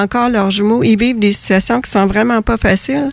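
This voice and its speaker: An unremarkable speaking voice with fairly even intonation. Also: woman. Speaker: author of a book on twin bereavement. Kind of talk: radio interview.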